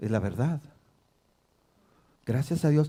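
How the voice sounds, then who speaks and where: This man's voice has a dark, mellow tone and is somewhat breathy. His intonation is lively. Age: 60s. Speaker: pastor. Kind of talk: sermon.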